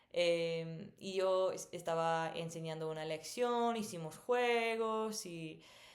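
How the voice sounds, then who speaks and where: Audible room echo surrounds a woman's voice. Her pitch is fairly low, with ordinary variation. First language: English (speaking Spanish). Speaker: missionary and language teacher vlogger. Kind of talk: personal storytelling. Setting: recording at home at night. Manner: many filler sounds.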